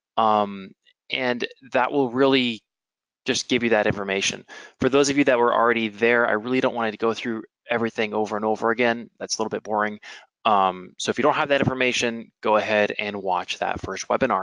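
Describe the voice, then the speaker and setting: In a dry, close sound with no echo, a man talks at a fairly quick pace, keeping a medium pitch and fairly even intonation. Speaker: webinar presenter. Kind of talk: technical webinar. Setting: online webinar. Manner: fast.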